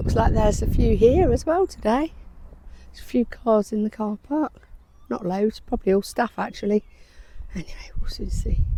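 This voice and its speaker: Long, frequent pauses and big swings in loudness, over noticeable background noise. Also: woman, moderate pace. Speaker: lifestyle vlogger. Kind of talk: casual vlog.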